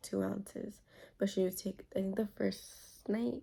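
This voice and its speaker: A woman is whispering. She is soft-spoken. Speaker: vlogger, first-time mom. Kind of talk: casual Q&A vlog. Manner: whispering, soft; hesitant, filler-heavy.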